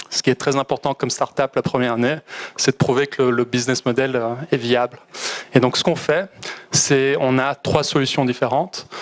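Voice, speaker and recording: A man with a Belgian accent speaks at medium pitch and a moderate pace, with fairly even intonation and very even loudness. The sound is dry and close with no echo, though noticeable background noise is present. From Belgium. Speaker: startup founder. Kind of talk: startup pitch.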